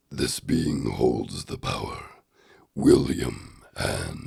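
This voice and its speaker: Putting on a character voice, a man drawls very slowly in a raspy, very deep, low register. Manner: ominous, dramatic.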